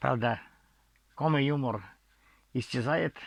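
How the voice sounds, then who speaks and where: Speaking very slowly, a man talks with a Komi accent. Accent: non-Russian Komi-Zyryan. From Komi Republic, Russia. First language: Komi (speaking Russian). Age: 70s. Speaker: author and storyteller. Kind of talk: storytelling. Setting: at home in the bedroom. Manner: halting, with repetitions and false starts.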